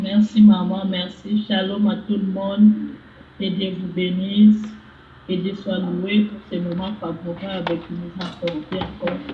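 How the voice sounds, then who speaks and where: A woman with a Congolese accent at medium pitch and a moderate pace, flat and monotone, with big swings in loudness, audible room echo and noticeable background noise. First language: Lingala. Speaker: testimony giver. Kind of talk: testimony.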